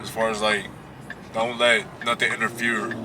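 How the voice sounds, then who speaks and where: There is noticeable noise in the background while the speech moves along fairly quickly. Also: man. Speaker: vlogger. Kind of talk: casual motivational vlog talk. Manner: loud when projecting.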